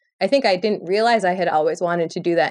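Here is an unremarkable speaking voice from a woman with an American accent. Her pitch is medium, with fairly even intonation. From Michigan, Lansing. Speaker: musician and DJ. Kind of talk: casual interview chat.

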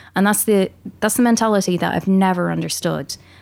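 Over a very clean recording with a silent background, a woman with an American accent speaks in a medium pitch. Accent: Irish, sometimes heard as American. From Ireland. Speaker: dubbing and re-recording mixer. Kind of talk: casual interview.

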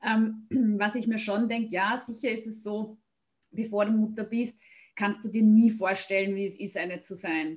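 A woman with a fairly high, somewhat breathy voice speaks with fairly even intonation. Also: fairly slow pace. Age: 40s. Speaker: podcast host and blogger. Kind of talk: interview.

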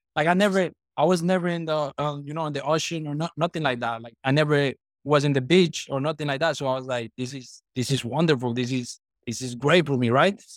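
On a very clean recording with a silent background, a man with a Colombian accent speaks very fast at a fairly high pitch. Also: ordinary pitch variation. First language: Spanish. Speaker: business owner, former soccer player. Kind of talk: casual interview chat. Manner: casual, conversational, repeats words.

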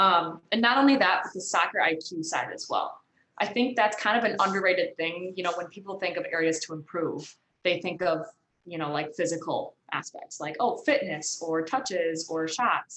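The woman speaks with an American accent and lively intonation. She has a plain, everyday voice. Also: fairly low pitch for a woman, moderate pace. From Michigan, US. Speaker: professional soccer player. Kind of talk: interview.

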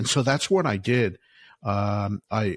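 Speaking in a normal speaking voice with an American accent, a man goes at a fairly slow pace with ordinary pitch variation, the sound dry and close with no echo and the recording very clean with a silent background. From US Northeast, Philadelphia. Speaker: author and alternative investments expert. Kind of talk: interview.

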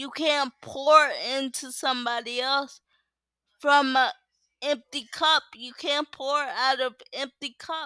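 In a dry, close sound with no echo, a woman with a high pitch and bright, sharp tone projects her raised voice at a very slow pace, her loudness swinging widely. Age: 20s. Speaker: solo podcaster. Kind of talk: casual monologue. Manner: passionate.

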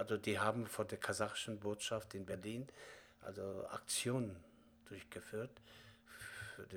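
A man at a fairly slow pace, with monotone, flat intonation, big swings in loudness and long, frequent pauses. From Kazakhstan. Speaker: theatre director and acting teacher. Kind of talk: interview. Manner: halting.

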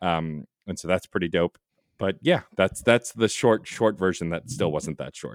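With vocal fry and lively intonation, a man speaks at a moderate pace in a very deep, low pitch. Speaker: podcast host and producer. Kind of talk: casual interview chat.

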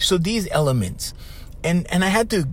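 This man has a Hawaiian accent and a fairly high pitch. His tone is animated and his pace moderate. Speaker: podcast host and life coach. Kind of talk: casual monologue.

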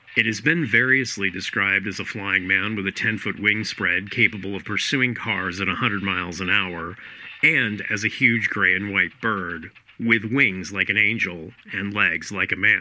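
Noticeable background noise sits beneath speech delivered at a moderate pace. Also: man, fairly low pitch for a man, ordinary pitch variation. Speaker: news announcer in archive clip. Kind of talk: vintage news report reading.

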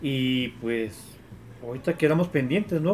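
His voice has a medium pitch with ordinary pitch variation. The man talks at a moderate pace. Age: young. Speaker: football supporters' group member. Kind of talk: casual chat.

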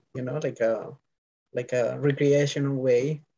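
In a Spanish accent, a man speaks slowly-ish at a fairly slow pace and medium pitch, with a dark, mellow tone and monotone, flat intonation. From Colombia, Bogota. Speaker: bike messenger. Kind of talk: interview.

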